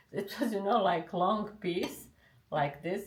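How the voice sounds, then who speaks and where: A woman with a Bosnian accent speaks at a fairly slow pace in a room with audible echo. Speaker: interviewee. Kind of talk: casual chat over a meal. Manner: halting.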